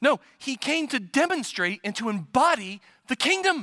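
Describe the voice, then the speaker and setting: A man speaks in a raised, projected voice with a bright, sharp tone. The sound is dry and close, with no echo. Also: very clean recording, silent background. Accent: American. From US Midwest. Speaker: pastor. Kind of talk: sermon.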